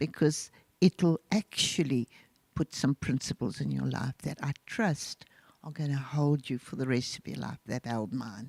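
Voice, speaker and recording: A woman talks at a fairly slow pace with a very deep, low pitch and vocal fry. Her loudness swings widely. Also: ordinary pitch variation, dry, close sound with no echo. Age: 70s. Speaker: pastor and author. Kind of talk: interview. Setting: church online service.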